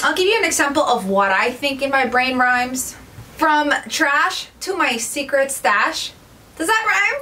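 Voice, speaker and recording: Amid noticeable background noise and audible room echo, a woman with a high pitch uses a raised, projected voice, lively intonation and a fairly slow pace. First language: Spanish. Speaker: DIY home decor YouTuber. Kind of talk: casual vlog tutorial. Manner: animated.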